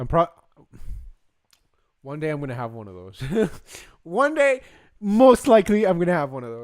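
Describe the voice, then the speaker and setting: Speaking at a moderate pace, a man uses a fairly high pitch with very wide pitch swings. His loudness swings widely, and his pauses are long and frequent. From Costa Rica. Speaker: streamer. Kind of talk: live stream reaction commentary.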